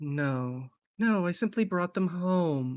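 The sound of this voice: Someone uses a put-on character voice at a middle pitch. The pace is very slow against a quiet background.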